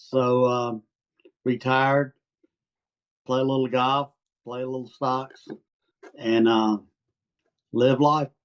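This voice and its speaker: With an Arkansas accent, a man of medium pitch talks very slowly in a monotone, flat way with long, frequent pauses, in a dry, close sound with no echo. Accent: Southern US accent (Arkansas). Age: 70s. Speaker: retired private investor, client. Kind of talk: casual interview. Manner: hesitant, many fillers.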